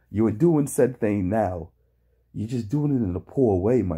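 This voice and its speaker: A man with a dark, mellow, somewhat breathy voice speaks at a moderate pace, swinging his pitch very widely, in a very clean recording with a silent background. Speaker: reaction video commentator. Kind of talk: reaction commentary. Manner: animated.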